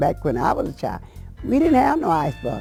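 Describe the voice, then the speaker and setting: A woman with a Southern US accent, music in the background. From South Carolina. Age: 80s+. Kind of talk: oral history interview answer. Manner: halting, repetitive.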